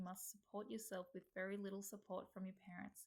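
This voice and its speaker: A woman speaks at a fairly quick pace in an Australian accent. Her voice is somewhat breathy, with monotone, flat intonation. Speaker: healthcare student. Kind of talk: reading aloud. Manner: formal.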